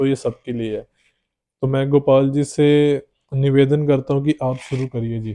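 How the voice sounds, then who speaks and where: A fairly high-pitched male voice in a Punjabi accent, with monotone, flat intonation. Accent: Punjabi-accented Hindi. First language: Punjabi (speaking Hindi). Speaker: podcast host. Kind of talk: podcast interview.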